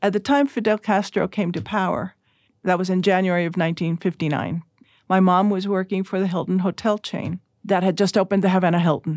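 A woman talks at a fairly quick pace in a normal speaking voice, medium in pitch with fairly even intonation. The recording is very clean with a silent background and a dry, close sound with no echo. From Cuba, then Puerto Rico and US. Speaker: former judge and church missionary. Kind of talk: interview. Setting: studio.

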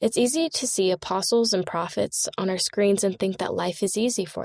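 Using a plain, everyday voice, a woman speaks with lively intonation at a moderate pace. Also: dry, close sound with no echo. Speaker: church magazine story reader. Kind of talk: reading aloud.

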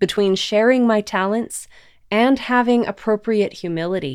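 A woman at a fairly slow pace with ordinary pitch variation, on a very clean recording with a silent background. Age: adult. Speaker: devotional podcast host. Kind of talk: scripted devotional narration. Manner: clear, measured reading.

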